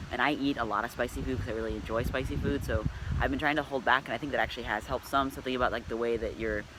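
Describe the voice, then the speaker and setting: This man has a medium-pitched voice with ordinary pitch variation. Noticeable background noise runs behind him. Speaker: vlogger. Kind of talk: video diary update. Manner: halting, many fillers.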